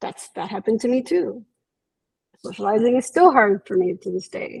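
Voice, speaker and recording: A woman at a moderate pace, fairly high-pitched and somewhat breathy, lively intonation, big swings in loudness, dry, close sound with no echo. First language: Spanish. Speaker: psychologist. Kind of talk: interview.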